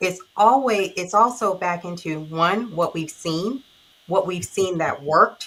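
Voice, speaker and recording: Her pace is fairly slow. The woman's pitch shifts in an ordinary manner. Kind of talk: casual discussion. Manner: soft-spoken, keeps voice low.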